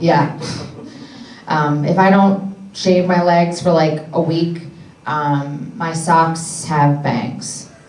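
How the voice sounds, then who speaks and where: A woman's fairly low voice with an American accent, very slow with long, frequent pauses and fairly even intonation, amid audible room echo and noticeable background noise. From Philadelphia, US. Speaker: comedian. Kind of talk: stand-up. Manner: loud; sarcastic.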